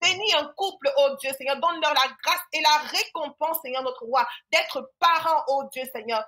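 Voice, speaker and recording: Projecting in a raised voice, a woman with a Cameroonian accent speaks at a high pitch and a moderate pace, her tone bright and sharp and her pitch varying in an ordinary way. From western Cameroon. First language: Yemba (speaking French). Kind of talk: prayer.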